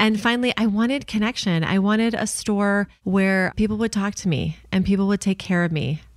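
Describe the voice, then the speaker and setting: A woman with an American accent and a plain, everyday voice speaks at a medium pitch with ordinary pitch variation and very even loudness. She uses hardly any pauses, on a very clean recording with a silent background. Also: moderate pace. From Chicago suburbs, US Midwest. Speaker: retail entrepreneur, co-founder. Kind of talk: casual interview.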